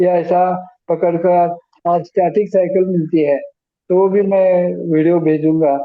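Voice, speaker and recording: A man talks at a high pitch in a flat, monotone way. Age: 70s. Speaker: ALS patient sharing recovery experience. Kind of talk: group video meeting advice.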